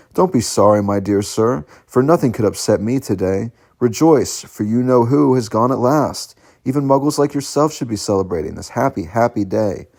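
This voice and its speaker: Here a man uses a put-on character voice, squeaky with lively intonation. His pitch is medium and his pace moderate. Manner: delighted, jubilant.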